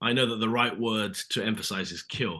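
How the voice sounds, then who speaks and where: A man's medium-pitched voice with a British accent. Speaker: actor. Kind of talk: interview. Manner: casual, hesitant with fillers.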